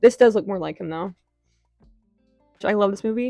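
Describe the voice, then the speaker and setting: A woman speaks at a medium pitch in a dry, close recording with no echo, with music playing in the background. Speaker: artist. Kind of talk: casual talk to camera. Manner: stuttering, rambling.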